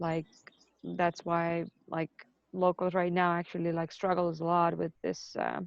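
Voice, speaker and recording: With an Estonian accent, a woman speaks fairly slowly in a fairly low, monotone, flat voice. She leaves long, frequent pauses. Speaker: ESL student. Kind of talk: class discussion.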